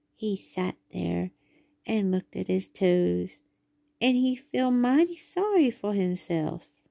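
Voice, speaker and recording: A woman drawls in a put-on character voice at a fairly slow pace. Her pitch sits in the medium range. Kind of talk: bedtime story. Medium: read story. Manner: folksy drawling dialect.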